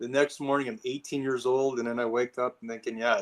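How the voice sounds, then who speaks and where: The speaking pace of this man is fairly quick. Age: 50s. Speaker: interior and event designer. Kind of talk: podcast interview. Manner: halting, many fillers and restarts.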